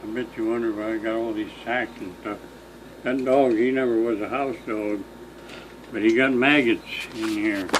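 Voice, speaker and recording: A man with an American accent and monotone, flat intonation, long, frequent pauses, audible room echo and noticeable background noise. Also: medium pitch for a man, moderate pace. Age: 80s+. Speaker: elderly local farmer recounting history. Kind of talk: casual chat.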